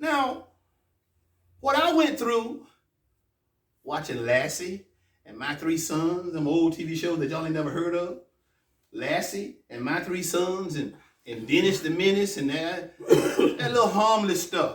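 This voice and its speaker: Speaking fairly slowly with long, frequent pauses, a man with an American accent and a high pitch makes very wide pitch swings and big swings in loudness. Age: 60s. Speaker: imam. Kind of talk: sermon. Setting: mosque. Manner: animated.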